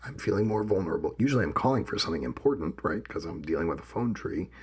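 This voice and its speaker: A man talks at a very fast pace with a fairly low pitch and vocal fry. His pitch swings very widely. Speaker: podcast co-host. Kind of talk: casual podcast discussion.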